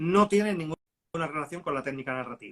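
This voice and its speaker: A man with a fairly high pitch, lively intonation and a fairly quick pace. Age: 50s. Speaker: writer. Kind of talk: live interview. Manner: halting.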